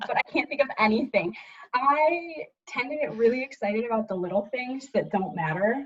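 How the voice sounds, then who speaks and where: A woman with an American accent speaks in a high pitch with lively intonation. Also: moderate pace. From Michigan. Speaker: Air Force staff sergeant. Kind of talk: casual interview.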